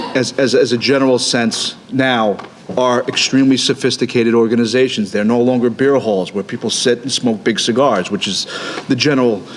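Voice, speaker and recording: Noticeable background noise surrounds a man speaking in a Brooklyn accent. His medium-pitched voice moves at a fairly quick pace with fairly even intonation. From Brooklyn, New York. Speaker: union representative. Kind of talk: panel discussion. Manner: halting, many repetitions.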